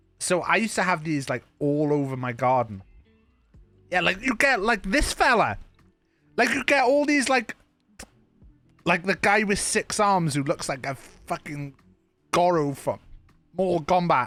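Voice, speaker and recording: A man's high voice with very wide pitch swings, long and frequent pauses, and a moderate pace, with music in the background. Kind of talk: casual streamer talk to camera. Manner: casual, conversational.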